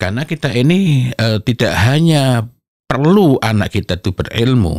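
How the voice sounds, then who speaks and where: The sound is dry with no echo. A man speaks at a fairly slow pace with vocal fry. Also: quiet background. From East Java, Indonesia. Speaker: Islamic parenting speaker and author; speaker. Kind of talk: interview talk on parenting. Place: studio. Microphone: studio mic.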